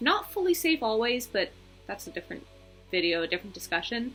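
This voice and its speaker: A woman with an American accent, music in the background. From England, US and Belgium (mixed childhood). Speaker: vlogger and actor. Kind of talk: casual vlog monologue.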